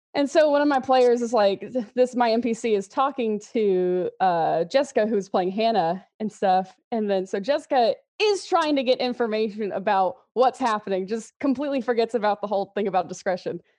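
A woman with an American accent speaks in a plain, everyday voice, fairly high in pitch with ordinary pitch variation, at a moderate pace with hardly any pauses against a quiet background. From Texas, Houston area. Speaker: social media manager at a miniatures company. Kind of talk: casual interview chat.

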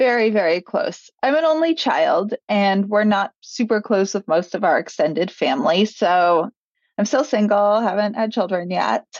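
A woman with an American accent, medium in pitch, with lively intonation, very even loudness and a moderate pace. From New York. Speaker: author and podcast host. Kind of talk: interview. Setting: remote interview.

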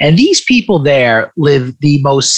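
Noticeable noise sits in the background. Over it, a man speaks at a moderate tempo, his pitch varying in an ordinary way. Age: 40s. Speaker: wealth manager and author. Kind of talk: interview.

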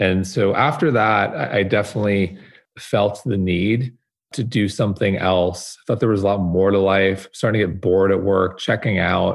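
Against a quiet background, a man with an ordinary speaking voice talks at a moderate pace, fairly low in pitch, with fairly even intonation. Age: 40s. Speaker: wellness media founder. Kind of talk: interview. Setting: video call.

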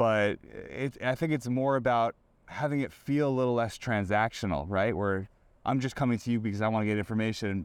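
With an ordinary speaking voice, a man talks at a fairly quick pace and fairly low pitch with ordinary pitch variation, on a very clean recording with a silent background. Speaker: sports reporter. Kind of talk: casual interview chat.

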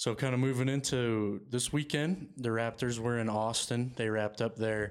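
In a very clean recording with a silent background, a man with medium pitch and fairly even intonation has a plain, everyday voice. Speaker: sports podcast host. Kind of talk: casual chat.

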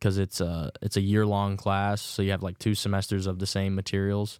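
Moderate pace and a slight Southern US accent, on a very clean recording with a silent background. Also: man. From Virginia. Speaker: rookie baseball pitcher. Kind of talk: casual interview.

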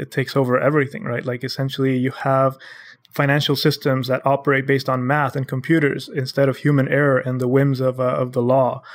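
The recording is very clean, with a silent background. A man speaks at a fairly high pitch. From Honduras. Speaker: blockchain startup co-founder. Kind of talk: podcast interview.

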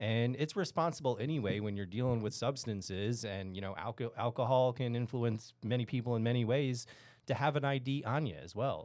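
Fairly quick pace from a man in a normal speaking voice. His pitch is medium with ordinary variation. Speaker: restaurant franchise manager. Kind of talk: casual business discussion.

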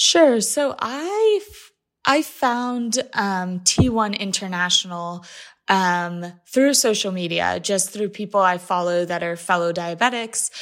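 At a very slow pace, a woman speaks at a medium pitch with lively intonation and big swings in loudness. The recording is very clean, with a silent background. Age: 20s. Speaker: patient advocate. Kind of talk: interview.

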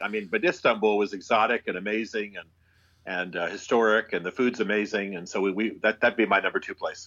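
A man with a normal speaking voice talks at a fairly quick pace and medium pitch against a quiet background. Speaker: author and former pastor. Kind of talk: casual interview.

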